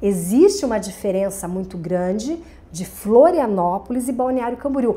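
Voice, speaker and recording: A woman speaks at a fairly slow pace in a dark, mellow tone. Her pitch makes very wide swings. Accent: Santa Catarina. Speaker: television presenter. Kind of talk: podcast interview. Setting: studio.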